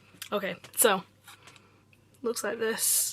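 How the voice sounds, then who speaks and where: A woman speaks in a relaxed tone at a fairly high pitch with monotone, flat intonation. Noticeable background noise accompanies her. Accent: Yorkshire. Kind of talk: casual unboxing talk to camera. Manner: chatty, relaxed.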